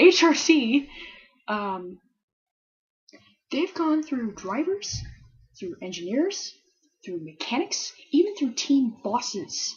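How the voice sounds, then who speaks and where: This woman talks at a very slow pace, with long, frequent pauses. Her high pitch swings very widely, and her loudness swings a lot too. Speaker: Formula One fan vlogger. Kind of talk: casual talk to camera. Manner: hesitant, rambling, stuttering.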